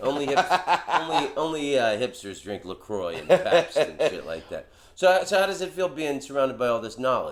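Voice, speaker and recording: Big swings in loudness from a man speaking at a moderate speed. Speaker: comedian. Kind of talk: podcast conversation.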